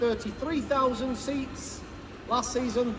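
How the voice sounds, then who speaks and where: In a Manchester accent, a man speaks at an extremely high pitch. Noticeable background noise and audible room echo surround him. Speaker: stadium tour guide. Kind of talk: guided tour talk. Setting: stadium, with tour group. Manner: animated, enthusiastic.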